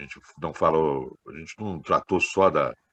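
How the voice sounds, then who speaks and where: A man at a fairly slow pace, with a dry, close sound and no echo. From Minas Gerais, Brazil. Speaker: political activist. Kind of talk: meeting discussion contribution.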